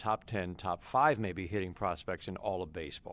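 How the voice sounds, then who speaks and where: Heard on a very clean recording against a silent background, a plain, everyday voice shows ordinary pitch variation. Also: man. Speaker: radio play-by-play announcer for a baseball team. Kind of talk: interview answer, conversational sports talk.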